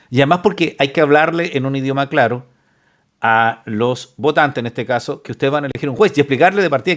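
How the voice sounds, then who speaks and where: A man with a Chilean accent speaks very fast, with ordinary pitch variation. The recording is very clean, the background silent. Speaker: lawyer and reaction video host. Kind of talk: reaction commentary reading news aloud. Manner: casual, conversational.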